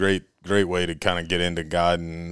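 The speaker has an Alabama accent and a moderate pace. The intonation is monotone and flat. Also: man, very clean recording, silent background. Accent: Southern US (Alabama). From Alabama, US South. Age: 20s. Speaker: duck hunter and dog trainer. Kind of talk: casual chat.

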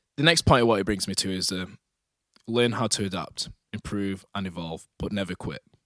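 Recorded with a dry, close sound and no echo, a man with an ordinary speaking voice talks at a fairly quick pace, his pitch fairly low with ordinary pitch variation. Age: 20s. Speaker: personal trainer and podcast host. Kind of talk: solo podcast monologue. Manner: casual.

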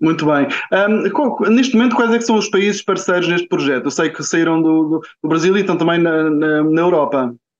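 Speaking at a moderate pace, a man uses a high-pitched voice with lively intonation. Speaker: podcast host. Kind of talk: interview.

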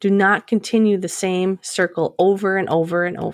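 With an American accent, a woman speaks at a medium pitch and a moderate pace in a monotone, flat intonation. The recording is very clean with a silent background and a dry, close sound with no echo. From US Midwest. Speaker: podcast host, teacher. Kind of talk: solo podcast monologue.

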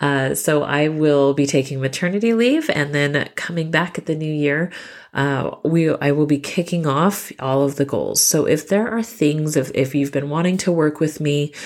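A woman's very deep, low voice at a moderate pace, with ordinary pitch variation, on a very clean recording with a silent background. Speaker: podcast host and mom coach. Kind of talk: solo podcast monologue. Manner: casual with filler words.

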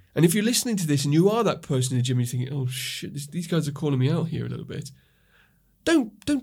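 Talking at a very fast pace, a man uses lively intonation in a fairly high, somewhat breathy voice. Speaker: podcast co-host, chiropractor. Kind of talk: casual chat. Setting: studio. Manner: animated.

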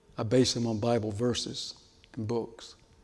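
A man at a medium pitch with ordinary pitch variation, with audible room echo. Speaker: pastor. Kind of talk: sermon.

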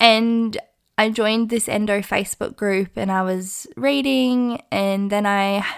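A woman with an Australian accent and medium pitch, at a fairly slow pace, on a very clean recording with a silent background. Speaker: podcast host. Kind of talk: personal testimony monologue.

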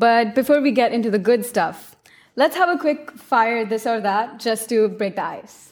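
A woman with an unremarkable speaking voice, fairly high in pitch, talks at a moderate pace with ordinary pitch variation. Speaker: student podcast host. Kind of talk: casual interview. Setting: studio.

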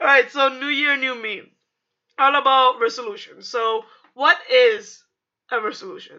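The voice is raised and projected, animated and bright, sharp in tone, broken by long, frequent pauses. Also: woman, high pitch for a woman, ordinary pitch variation, moderate pace. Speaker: podcast co-host. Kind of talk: casual chat.

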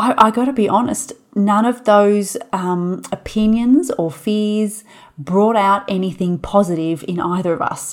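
With an unremarkable speaking voice, a woman talks at a medium pitch and a fairly slow pace, using ordinary pitch variation. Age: 30s. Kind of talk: solo podcast monologue.

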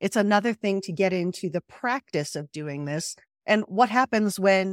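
On a very clean recording with a silent background, a woman uses an ordinary speaking voice at a medium pitch, fairly slow pace and ordinary pitch variation. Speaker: podcast host. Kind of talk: interview.

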